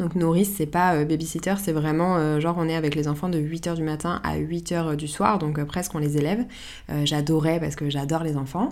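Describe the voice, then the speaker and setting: There is audible room echo around a woman's very deep, low voice, her intonation fairly even. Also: moderate pace. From Paris, France. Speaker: podcast host, photographer. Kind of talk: solo podcast monologue, answering listener questions.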